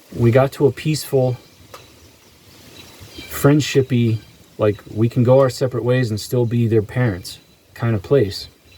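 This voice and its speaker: A man at medium pitch and moderate pace, with fairly even intonation, long and frequent pauses, and noticeable background noise. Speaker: vlogger. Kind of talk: personal monologue. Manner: halting.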